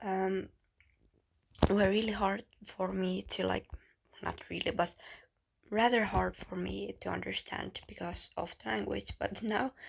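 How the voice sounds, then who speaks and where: A woman with a Finnish accent at a fairly slow pace. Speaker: YouTuber. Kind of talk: casual chat. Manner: halting.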